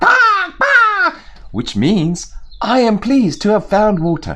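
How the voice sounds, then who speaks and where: A man puts on a character voice. He pitches it high. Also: fairly slow pace. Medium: solo performance. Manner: cawing before speaking.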